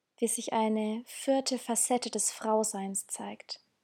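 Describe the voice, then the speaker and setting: This woman's dark, mellow voice sits at a fairly high pitch. Her calm, soothing tone moves at a very slow pace. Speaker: meditation guide. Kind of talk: guided meditation. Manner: slow, calm, soothing, with pauses; gentle, inviting, intimate.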